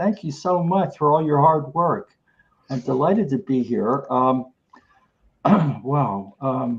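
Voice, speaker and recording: A man speaks very slowly, with long, frequent pauses. His voice is fairly high, somewhat breathy and lively in intonation. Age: 80s+. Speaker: retired factory worker, participant. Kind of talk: casual chat. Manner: halting.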